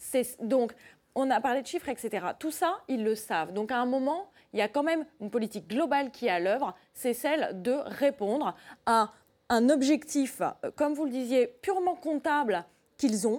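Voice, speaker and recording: Her high-pitched voice moves with lively intonation at a moderate pace, and this woman's recording is very clean with a silent background. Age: 30s. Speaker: doctor. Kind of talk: televised debate. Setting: TV studio.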